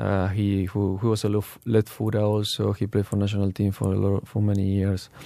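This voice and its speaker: With a Spanish accent, a man speaks at a fairly quick pace with hardly any pauses, his fairly low, dark, mellow voice kept very even in loudness and flat, monotone in intonation. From Argentina. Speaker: professional footballer. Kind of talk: interview. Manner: halting.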